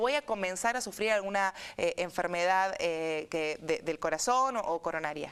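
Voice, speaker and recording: A woman in a plain, everyday voice, at a moderate pace with ordinary pitch variation. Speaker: radio and TV host, speech therapist. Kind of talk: interview questions.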